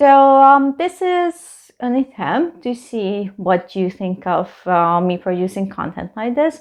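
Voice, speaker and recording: In a Hungarian accent, a woman speaks at a very slow pace with hardly any pauses. Her pitch swings very widely. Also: medium pitch for a woman. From Hungary. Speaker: travel vlogger. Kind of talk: casual reaction video commentary. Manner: halting, many fillers.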